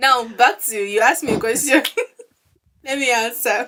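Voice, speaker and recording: Moderately paced speech from a woman, high in pitch, its pitch variation ordinary. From northern Nigeria. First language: a Nigerian language (not Hausa). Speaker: podcast co-host. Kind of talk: casual chat.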